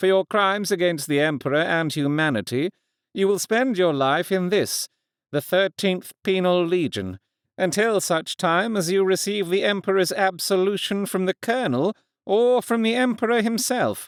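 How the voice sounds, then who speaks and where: Using a put-on character voice, a man talks at a moderate pace and a high pitch, with ordinary pitch variation and very even loudness. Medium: read story. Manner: terse, cold.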